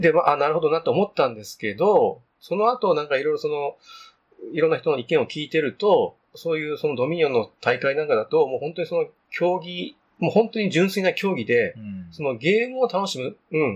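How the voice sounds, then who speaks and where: This man speaks at a fairly quick pace in a fairly high voice. His pitch swings very widely. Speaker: board game podcast host. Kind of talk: casual chat.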